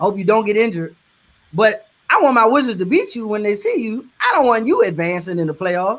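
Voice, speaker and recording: Talking at a fairly quick pace, a man has an extremely high pitch for a man. He uses lively intonation with a Southern US accent. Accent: Southern twang. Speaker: media industry professional. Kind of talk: casual chat.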